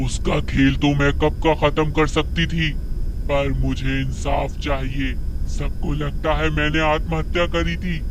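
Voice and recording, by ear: Against loud background noise, a man performs a cartoonish character voice at a fairly slow pace.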